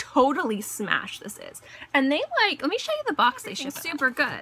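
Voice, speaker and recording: A woman with a high pitch speaks in a raised, projected voice with lively intonation at a moderate pace. Noticeable background noise sits behind her. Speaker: beauty vlogger. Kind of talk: casual haul video monologue.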